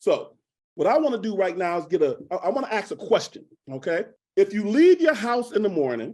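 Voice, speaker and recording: Energetic in tone, the voice moves at a fairly quick pace. Its pitch swings very widely. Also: man, high pitch for a man. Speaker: motivational speaker. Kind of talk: motivational conference presentation to students. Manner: energetic, direct, audience-engaging.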